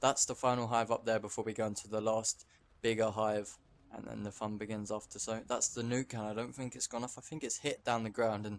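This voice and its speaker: Here a man talks at a fairly quick pace. His intonation is monotone and flat. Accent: British. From England. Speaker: gaming YouTuber. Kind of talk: gameplay commentary. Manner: halting, with frequent stammers and repeats.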